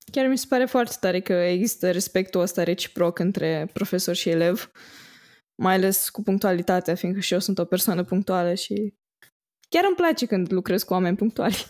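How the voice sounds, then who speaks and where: A woman with a plain, everyday voice talks at a moderate pace, her pitch varying in an ordinary way. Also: medium pitch for a woman. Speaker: podcast host. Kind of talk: interview.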